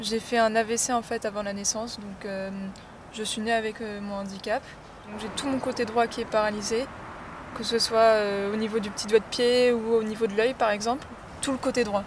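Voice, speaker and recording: Fairly high-pitched female speech in a monotone, flat intonation, over noticeable background noise. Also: moderate pace. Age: 20s. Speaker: learner driver. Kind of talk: interview.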